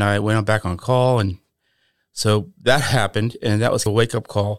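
A man talks at a medium pitch in a monotone, flat intonation. The sound is dry and close with no echo, on a very clean recording with a silent background. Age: 60s. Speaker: author and former telecom employee. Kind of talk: casual interview. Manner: halting.

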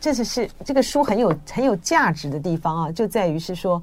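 The voice has an animated tone, very wide pitch swings and a moderate pace. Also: woman. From Taiwan. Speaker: radio host. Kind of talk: interview. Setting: studio.

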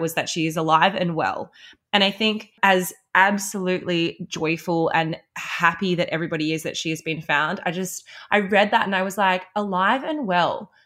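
In an Australian accent, a woman speaks at a medium pitch with a bright, sharp tone. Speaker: podcast co-host. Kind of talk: casual chat. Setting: remote recording over video call.

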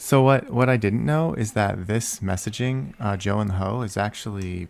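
Speaking at a moderate pace with ordinary pitch variation, the man has an unremarkable speaking voice. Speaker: podcast host. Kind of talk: casual banter.

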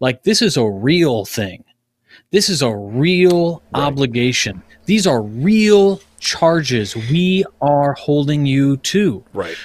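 Pitch swings very widely as the speaker talks at a very slow pace with an American accent. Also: man, fairly high pitch for a man. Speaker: podcast host and Mason. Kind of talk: casual roundtable discussion.

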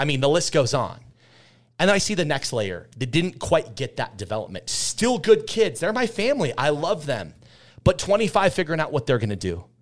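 A man with an American accent talks at a moderate pace in a fairly high pitch, using very wide pitch swings and vocal fry. The recording is very clean, with a silent background. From Utah. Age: 30s. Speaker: restaurant entrepreneur. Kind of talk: interview.

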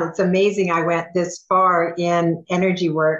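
A woman with a plain, everyday voice speaks at a medium pitch and a fairly slow pace. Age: 60s. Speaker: Reiki teacher and healer. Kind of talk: interview, personal story.

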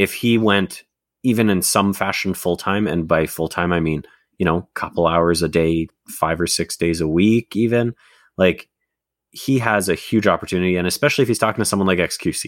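Recorded with a dry, close sound and no echo, a man speaks at a very deep, low pitch and a moderate pace, with ordinary pitch variation. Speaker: podcast co-host. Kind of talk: casual chat. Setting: video call.

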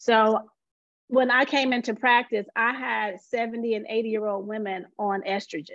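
A woman's fairly high pitch in a normal speaking voice, at a fairly slow pace with fairly even intonation, against a quiet background. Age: 40s. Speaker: physician. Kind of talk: interview.

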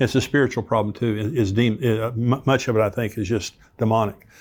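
In a very clean recording with a silent background, a man with an ordinary speaking voice talks at a fairly quick pace and a medium pitch. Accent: American. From United States. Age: 60s. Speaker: pastor and prophecy teacher, podcast host. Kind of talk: Bible teaching with commentary.

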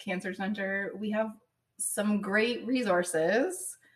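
A woman with a somewhat breathy, fairly high voice speaks at a very slow pace, with ordinary pitch variation. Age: 40s. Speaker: cancer patient and advocate. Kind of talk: casual chat. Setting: studio.

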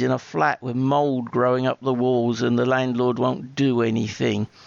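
This man has a normal speaking voice, pitched at a medium level and moving at a moderate pace. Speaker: listener sending voice message. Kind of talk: recorded listener message.

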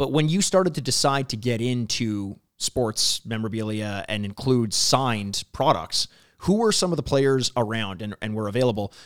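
A man talks at a moderate pace with lively intonation and a normal speaking voice. His medium pitch comes through with a dry, close sound and no echo. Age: 30s. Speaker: podcast host. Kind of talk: interview.

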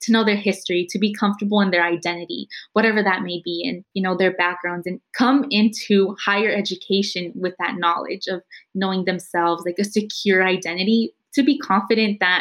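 With a normal speaking voice and an American accent, a woman of medium pitch speaks at a fairly quick pace with fairly even intonation. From East San Jose, California. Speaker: college student. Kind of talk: panel conversation.

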